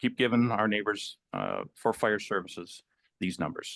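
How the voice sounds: A man speaks with a fairly low pitch, big swings in pitch and a fairly bright tone.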